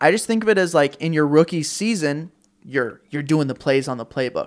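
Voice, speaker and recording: On a very clean recording with a silent background, a man with an ordinary speaking voice talks at a moderate pace, his fairly high pitch varying in an ordinary way. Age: 20s. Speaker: podcaster and combat sports commentator. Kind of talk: casual chat.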